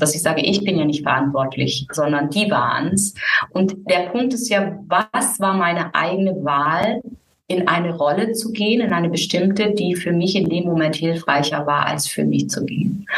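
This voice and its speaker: A normal speaking voice from a woman: medium pitch, moderate pace, ordinary pitch variation. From southern Germany (Müllheim, Baden). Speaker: voice coach. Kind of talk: interview conversation.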